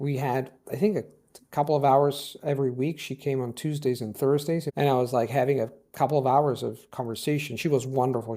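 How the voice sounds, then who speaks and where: On a very clean recording with a silent background, a man talks at a fairly quick pace in a medium pitch with a dark, mellow tone. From Italy, Rome. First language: Italian. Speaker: polyglot language teacher. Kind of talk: interview conversation. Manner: animated, with many restarts.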